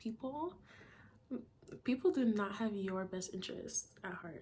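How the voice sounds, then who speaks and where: Her voice carries some breathiness. She talks at an average speed. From Toronto, Canada. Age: young. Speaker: university student. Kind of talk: casual talk to camera.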